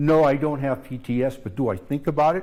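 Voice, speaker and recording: A man with an American accent speaks in a fairly high pitch, his tone dark and mellow. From California. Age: 80s+. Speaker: war veteran. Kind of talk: talk to students. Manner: emotional.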